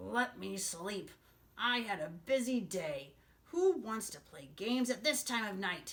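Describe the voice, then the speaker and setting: Putting on a growling character voice, a woman speaks at a medium pitch and a fairly slow pace. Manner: grumpy, irritated.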